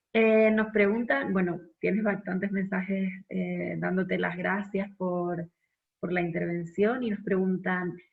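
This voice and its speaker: A woman speaks at a medium pitch with a somewhat breathy quality. Her intonation stays fairly even, and her pace is fairly slow. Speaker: conference moderator. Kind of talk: moderated Q&A. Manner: soft-spoken.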